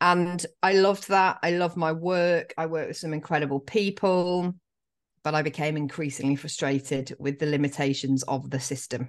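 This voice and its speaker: Over a quiet background, a woman with an English accent talks at a moderate pace in a very deep, low pitch with ordinary pitch variation. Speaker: life coach. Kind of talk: casual interview.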